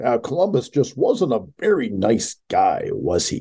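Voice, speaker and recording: A fairly slow put-on character voice from a man. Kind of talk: formal broadcast delivery. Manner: mock-serious, sarcastic.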